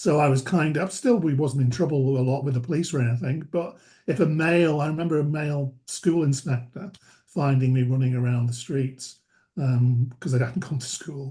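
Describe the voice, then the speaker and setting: At a moderate pace, a man speaks in a fairly high, somewhat breathy voice with a dark, mellow tone and ordinary pitch variation. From northern England, Merseyside (Wallasey). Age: 60s. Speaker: charity chief executive. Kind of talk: interview.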